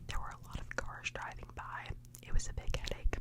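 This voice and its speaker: The voice is whispering at a moderate pace. Noticeable background noise runs underneath. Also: man. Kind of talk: ASMR taste test, casual talk to camera. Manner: soft-spoken, whispered.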